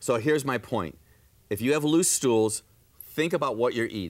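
A man's unremarkable speaking voice at medium pitch, fairly quick and lively in intonation, on a very clean recording with a silent background. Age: 60s. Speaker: natural health doctor. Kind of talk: TV health talk show.

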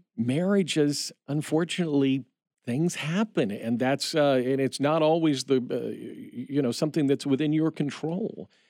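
A man with a Midwestern American accent and a dark, mellow tone speaks at a moderate pace in a fairly high pitch, with ordinary pitch variation and very even loudness, on a very clean recording with a silent background and dry, close sound with no echo. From Indiana. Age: 50s. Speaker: radio station manager. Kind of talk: interview. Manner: halting, many repeated words and fillers.

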